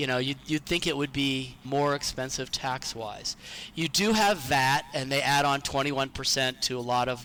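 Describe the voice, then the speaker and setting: A man with an American accent speaks at a moderate pace in a medium pitch, his bright, sharp tone carried by fairly even intonation. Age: 60s. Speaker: retiree. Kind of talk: interview.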